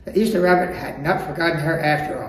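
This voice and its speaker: Noticeable background noise beneath speech with ordinary pitch movement. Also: man. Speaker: storyteller. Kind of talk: children's storybook reading.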